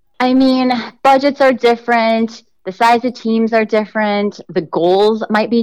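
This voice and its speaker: This woman has a normal speaking voice, ordinary pitch variation and a moderate pace. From US Midwest, southeastern Wisconsin. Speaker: marketing consultant and adjunct professor. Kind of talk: interview conversation.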